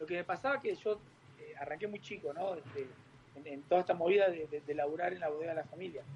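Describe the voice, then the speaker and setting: The man speaks at a very fast pace. His pitch is high, with ordinary pitch variation. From Uruguay. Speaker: winemaker. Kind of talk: interview.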